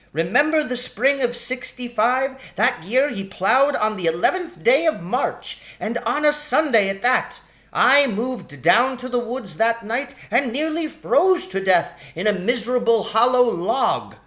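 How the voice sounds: A man's put-on character voice, extremely high in pitch, with a fairly bright tone, lively intonation, a fairly slow pace and audible room echo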